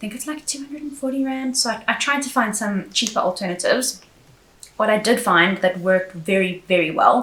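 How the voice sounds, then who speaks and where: Amid noticeable background noise, a woman talks at a fairly quick pace and a fairly high pitch, with lively intonation and big swings in loudness. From South Africa. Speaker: beauty YouTuber. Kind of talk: product review vlog. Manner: casual, chatty.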